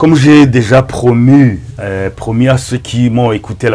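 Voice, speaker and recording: Medium in pitch, a man speaks with a Rwandan accent. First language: Kinyarwanda (speaking French). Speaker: pastor. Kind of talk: sermon. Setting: filmed in front of a camera. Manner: halting.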